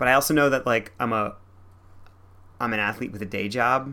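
A man's medium-pitched, bright and sharp voice at a fairly quick pace, with ordinary pitch variation

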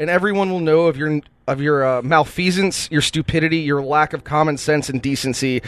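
A man has an ordinary speaking voice with a fairly high pitch. He talks at a fairly quick pace with fairly even intonation. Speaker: podcast co-host and game runner. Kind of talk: casual comedic chat.

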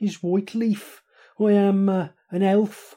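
A put-on character voice at a very slow pace. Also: man. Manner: grateful, halting.

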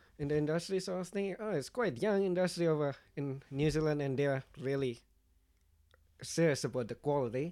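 Speaking at a fairly quick pace, a man with a fairly high pitch and a dark, mellow tone uses ordinary pitch variation. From Indonesia. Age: 20s. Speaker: winemaker. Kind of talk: interview.

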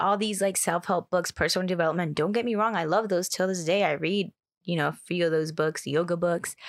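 Fairly low-pitched speech from a woman at a fairly quick pace, with fairly even intonation and very even loudness, on a very clean recording with a silent background. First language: Spanish. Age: 20s. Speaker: transformational coach and yoga instructor. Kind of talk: casual chat.

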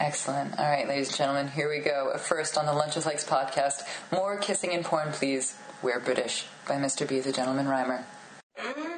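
Noticeable background noise sits behind a woman with a very deep, low voice. She talks at a fairly quick pace with fairly even intonation. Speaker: podcast host interviewer. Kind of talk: relaxed, laughing interview chat with a guest, not stand-up.

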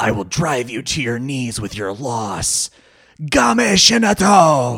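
Raspy and lively in intonation, a put-on character voice moves at a fairly slow pace. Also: man, medium pitch for a man. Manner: arrogant, dramatic.

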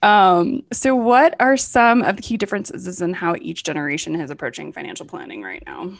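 A woman talks at a fairly quick pace with vocal fry and hardly any pauses. Her pitch swings very widely, and her loudness rises and falls a lot. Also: medium pitch for a woman. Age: 40s. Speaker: podcast host. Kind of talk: interview.

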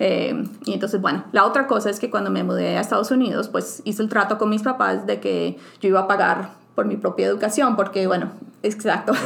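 Noticeable background noise fills the clip. A woman speaks fairly quickly. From Colombia, Bucaramanga. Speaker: scientist. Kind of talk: interview. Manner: hesitant, many fillers.

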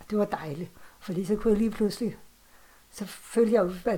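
A woman talks at a moderate pace. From Copenhagen, Denmark. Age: 40s. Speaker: author and horror fan. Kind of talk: casual conversation. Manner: hesitant, many fillers.

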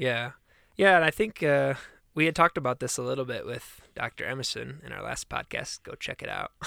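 On a very clean recording with a silent background and a dry, close sound with no echo, a man with an American accent talks at a fairly quick pace with big swings in loudness. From US Midwest (Michigan). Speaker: podcast co-host. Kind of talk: casual chat.

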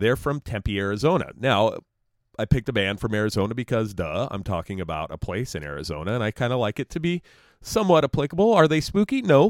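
The man's pitch swings very widely, with vocal fry in his voice. He talks at a very fast pace. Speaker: podcast host. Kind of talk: casual chat. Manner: casual, joking.

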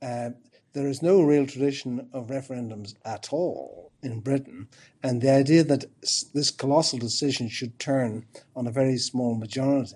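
A man with an Irish accent, medium in pitch, with a dark, mellow tone. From Ireland. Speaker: professor of philosophy. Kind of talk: interview.

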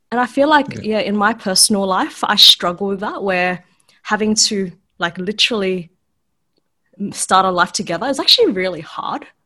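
With a bright, sharp tone, a woman speaks at a medium pitch and moderate pace with ordinary pitch variation. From Sydney, Australia. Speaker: escort and online content creator. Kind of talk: casual interview conversation.

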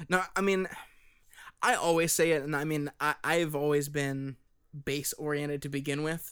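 With long, frequent pauses, a man at a fairly high pitch keeps his intonation fairly even on a very clean recording with a silent background. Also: moderate pace. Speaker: band member and podcast host. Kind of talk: casual chat.

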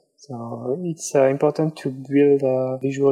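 A man with a French accent speaks at a fairly slow pace in a monotone, flat intonation. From France. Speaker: illustrator. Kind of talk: interview. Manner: halting.

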